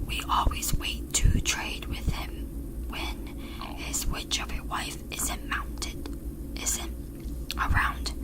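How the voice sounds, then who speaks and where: Whispering and soft-spoken, the speaker goes at a very slow pace amid noticeable background noise. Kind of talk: whispered audiobook-style reading of a novel chapter. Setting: close-up microphone. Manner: whispered, soft.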